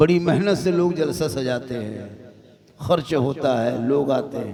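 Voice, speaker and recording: A man speaks at a medium pitch with lively intonation over noticeable background noise. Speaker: Islamic preacher. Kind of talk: humorous religious sermon at a night gathering.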